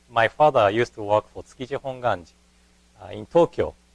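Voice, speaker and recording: Lively in intonation, a man with a Japanese accent speaks in a dry, close sound with no echo. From Japan (Kanazawa, Ishikawa). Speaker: Buddhist minister. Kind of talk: lecture. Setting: temple lecture hall. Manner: hesitant, with fillers.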